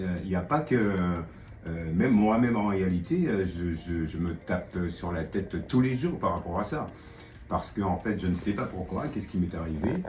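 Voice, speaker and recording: Music plays in the background, with audible room echo. The speech moves at a fairly slow pace. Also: man. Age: 60s. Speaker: tenant interviewed about gambling addiction. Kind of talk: testimony. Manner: halting, many hesitations.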